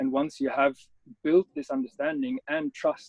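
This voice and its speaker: A man speaks with a German accent. He keeps a moderate pace. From Germany. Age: 30s. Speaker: adventure photographer. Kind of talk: interview. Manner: halting.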